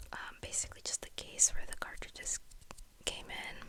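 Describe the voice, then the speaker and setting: Whispering at a moderate pace. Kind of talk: ASMR whispered talk to camera. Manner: whispered, rambling, casual.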